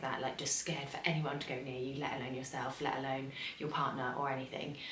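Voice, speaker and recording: A woman with an English accent at a fairly quick pace, with audible room echo and noticeable background noise. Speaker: vlogger. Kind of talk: casual vlog. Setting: home, early morning. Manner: soft-spoken; hesitant, many fillers.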